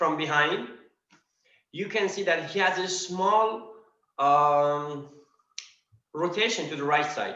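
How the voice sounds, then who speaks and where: In a room with audible echo, a man with a non-native accent speaks very slowly in a bright, sharp tone, his pitch varying in an ordinary way. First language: not English. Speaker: practitioner student. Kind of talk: question in online class. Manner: halting.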